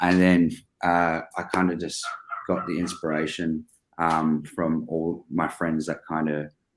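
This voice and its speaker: With an Australian accent, a man speaks in a very deep, low pitch and fairly even intonation. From Australia, Melbourne. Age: 20s. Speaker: business owner. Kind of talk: interview. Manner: hesitant, many fillers.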